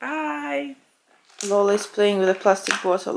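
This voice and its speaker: A woman speaks in a Russian accent at a medium pitch. Her pace is fairly slow. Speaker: fitness vlogger. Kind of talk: casual vlog talk to camera. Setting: at home lying on sofa.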